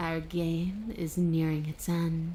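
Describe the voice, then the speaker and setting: A put-on character voice, menacing in tone and middle in pitch, with clear background noise. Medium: video game. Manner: menacing, taunting.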